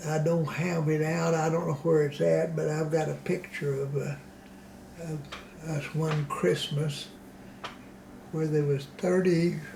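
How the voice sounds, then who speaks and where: A man with an American accent speaks slowly in a fairly high, flat monotone, with long, frequent pauses, noticeable background noise, and audible room echo. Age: 80s+. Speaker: elderly local resident interviewed for oral history. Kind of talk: oral history interview. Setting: in his home. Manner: halting, with frequent fillers and restarts.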